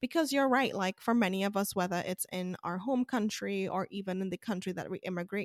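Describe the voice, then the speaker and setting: The speaker has a normal speaking voice with ordinary pitch variation, and the sound is dry and close with no echo. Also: woman. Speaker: podcast host. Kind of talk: interview.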